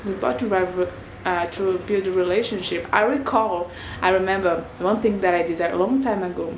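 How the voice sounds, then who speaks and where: There is audible room echo and noticeable background noise. A woman with a non-native accent talks at a fairly quick pace. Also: medium pitch for a woman, ordinary pitch variation. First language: not English. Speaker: video blogger. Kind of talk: casual vlog monologue. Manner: halting, searching for words.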